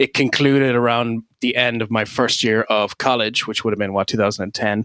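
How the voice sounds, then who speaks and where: A man with an Irish accent speaks at a fairly quick pace in a medium-pitched, bright, sharp tone, his monotone, flat intonation captured in a dry, close sound with no echo. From Ireland. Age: 30s. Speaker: podcast host. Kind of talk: casual chat.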